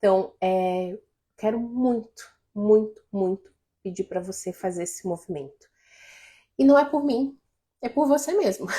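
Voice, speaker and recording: Fairly slow, with long, frequent pauses, a woman's fairly high voice has a dark, mellow tone and lively intonation. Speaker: life coach. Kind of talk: live stream talk to viewers.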